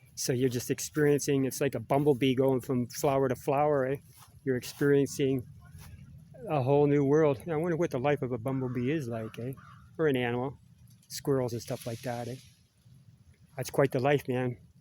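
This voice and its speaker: Speaking fairly quickly but with long, frequent pauses, a man with a Canadian accent uses a medium-pitched voice and fairly even intonation over noticeable background noise. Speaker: vlogger. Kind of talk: casual monologue. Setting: outdoors in a park. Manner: rambling, halting.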